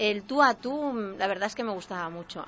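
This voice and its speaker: Here a woman speaks at a fairly high pitch. Her tone is bright and sharp. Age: 40s. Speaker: local radio presenter. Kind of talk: casual interview chat. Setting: radio studio.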